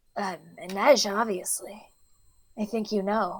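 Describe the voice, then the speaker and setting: A woman puts on a raspy character voice at a medium pitch. She speaks at a fairly slow pace. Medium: actual play. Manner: cryptic, knowing.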